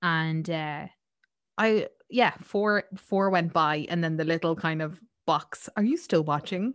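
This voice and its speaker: A woman's fairly low voice, with ordinary pitch variation and a fairly slow pace. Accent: Irish. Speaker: podcast host. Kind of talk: casual chat. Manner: animated.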